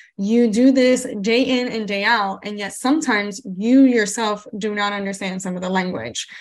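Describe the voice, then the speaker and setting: A woman's ordinary pitch variation with noticeable background noise. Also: medium pitch for a woman, moderate pace, hardly any pauses. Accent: Spanish. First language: Spanish. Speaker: podcast host, paralegal and legal educator. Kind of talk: casual interview chat.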